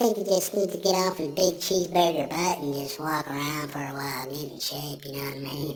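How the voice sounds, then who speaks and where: A put-on character voice at middle pitch and a fairly quick pace. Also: hardly any pauses. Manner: mean, mocking.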